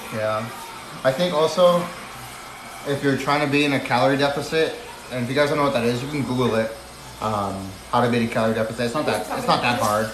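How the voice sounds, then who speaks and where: A man at a very fast pace and medium pitch, ordinary pitch variation, long and frequent pauses, audible room echo and noticeable background noise. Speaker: livestreamer. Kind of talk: casual chat.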